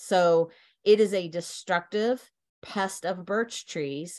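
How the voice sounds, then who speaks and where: With an American accent, a woman speaks at a medium pitch with ordinary pitch variation against a quiet background. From Virginia, USA. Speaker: horticulture professor, entomologist. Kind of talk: educational lecture.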